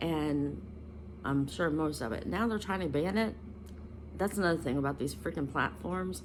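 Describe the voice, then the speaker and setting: A woman speaks at a moderate pace in a very deep, low pitch with vocal fry and very wide pitch swings. Long, frequent pauses break up her speech amid audible room echo. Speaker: spiritual content creator. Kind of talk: casual vlog monologue. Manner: halting, many ums and self-corrections.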